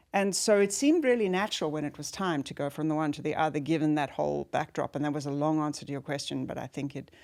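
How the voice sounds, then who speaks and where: A woman with a South African accent speaks very fast in a very deep, low voice, her pitch varying an ordinary amount. The recording is very clean, with a silent background. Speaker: former business executive and leadership guide. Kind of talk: interview conversation. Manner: reflective, with many fillers.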